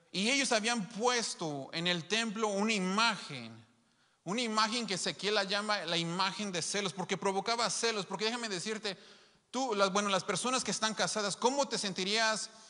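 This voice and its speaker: Against a quiet background, a man with a high pitch speaks in a raised, projected voice at a moderate pace with ordinary pitch variation. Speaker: preacher. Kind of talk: sermon. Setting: live stream to an online congregation. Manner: emphatic, repeating key phrases. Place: church. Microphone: handheld.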